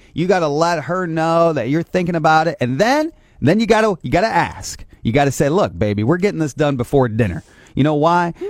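In an American accent, a man with a fairly high pitch speaks at a fairly quick pace with lively intonation, in an unremarkable speaking voice. The recording is very clean, with a silent background. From northeast Indiana. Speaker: morning radio host. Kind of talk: morning radio chat. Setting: radio studio.

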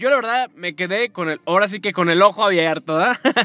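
Over music in the background, a man speaks in a raised, projected voice with an animated tone, the sound dry and close with no echo. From Mexico, Guadalajara. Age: 20s. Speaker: podcast host and communications student. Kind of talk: casual podcast monologue.

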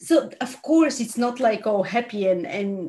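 A woman is speaking. Her pace is fairly slow. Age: 40s. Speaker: podcast host. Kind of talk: casual interview chat.

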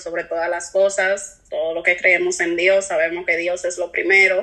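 A woman's monotone, flat delivery over noticeable background noise. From US, New York City. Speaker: single mother. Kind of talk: casual chat.

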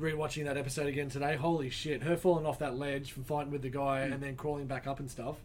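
Over audible room echo, a man speaks very fast in an Australian accent. His pitch is fairly high and his intonation monotone and flat. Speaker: comic shop podcast co-host. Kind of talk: casual chat. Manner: mumbles.

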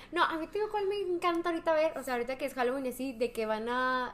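Her pace is very fast. The woman speaks with a high pitch. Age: young. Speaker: podcast guest. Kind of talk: casual chat.

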